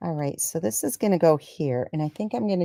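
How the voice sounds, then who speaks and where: On a very clean recording with a silent background and a dry, close sound with no echo, a woman with an American accent speaks with a very deep, low pitch, a dark, mellow tone and lively intonation. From Michigan, US Midwest. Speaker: craft demonstrator, stamping business team leader. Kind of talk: live-stream craft tutorial. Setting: weekly live stream on YouTube. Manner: talking quietly; casual, halting with fillers.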